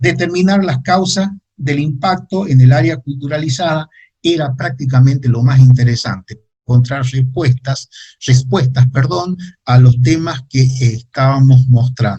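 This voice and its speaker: Over background music, a man talks at a fairly slow pace with medium pitch and ordinary pitch variation. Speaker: geographer giving a talk. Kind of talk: lecture. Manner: halting with many fillers.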